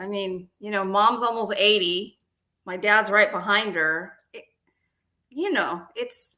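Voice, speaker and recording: This woman speaks at a very slow pace with long, frequent pauses, using a medium pitch, ordinary pitch variation and a bright, sharp tone in an American accent, while her loudness swings widely. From Texas. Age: 50s. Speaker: real estate agent. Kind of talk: interview.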